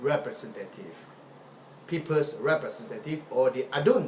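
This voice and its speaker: A fairly high-pitched man at a fairly slow pace, with very wide pitch swings and noticeable background noise. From Sarawak, Malaysia. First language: Malay or other Malaysian language. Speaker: political activist. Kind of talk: live video talk. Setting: live Facebook video. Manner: halting, repetitive.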